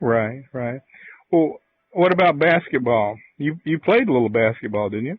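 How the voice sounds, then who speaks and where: This man has an unremarkable speaking voice, pitched in the medium range. His delivery rises and falls in a lively way. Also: moderate pace. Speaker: podcast host. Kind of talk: interview question. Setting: phone line.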